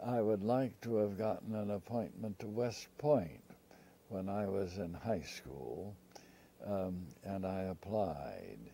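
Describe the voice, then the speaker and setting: A man with a fairly low pitch and a dark, mellow tone. He talks very slowly with ordinary pitch variation. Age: 90s. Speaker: elderly interviewee recounting life story. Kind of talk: oral history interview. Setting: filmed interview. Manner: halting, with many fillers.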